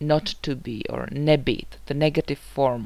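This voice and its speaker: This woman speaks in a Czech accent at a very slow pace. Her pitch is very deep and low. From Czech Republic. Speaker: language teacher. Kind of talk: tutorial.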